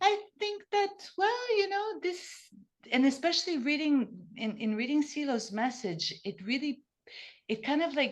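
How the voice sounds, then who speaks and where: A woman's high-pitched voice with a Portuguese accent at a fairly slow pace, full of very wide pitch swings. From Brazil. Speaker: podcast guest. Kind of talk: casual interview conversation. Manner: halting, with many restarts.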